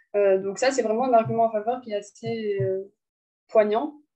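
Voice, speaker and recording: This woman's voice sits fairly high, with a dark, mellow tone, fairly even intonation and a moderate pace. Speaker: student tutor. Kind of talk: lecture.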